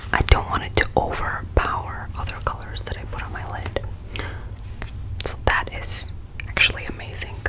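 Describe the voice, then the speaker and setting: Noticeable background noise is present. A voice whispers through it. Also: woman. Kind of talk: ASMR makeup try-on. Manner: whispered, soft-spoken.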